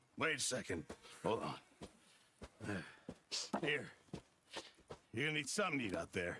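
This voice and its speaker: A man puts on a raspy character voice at medium pitch, swinging very widely in pitch at a moderate pace with long, frequent pauses. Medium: video game.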